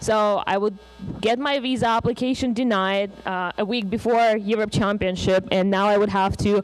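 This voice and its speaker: Someone with a Russian accent speaks at a moderate pace amid noticeable background noise. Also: woman. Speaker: conference speaker. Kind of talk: conference talk. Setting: stage with audience.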